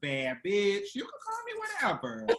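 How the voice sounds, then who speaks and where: With an American accent, a woman speaks at a medium pitch over noticeable background noise. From Virginia, US. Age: 30s. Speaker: performer and content creator. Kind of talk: interview.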